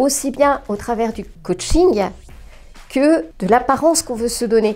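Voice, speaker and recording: A woman with a high-pitched voice talks at a very slow pace, her pitch varying in an ordinary way, while music plays in the background. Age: 60s. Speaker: training student giving a testimonial. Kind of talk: interview testimonial. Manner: hesitant, many fillers.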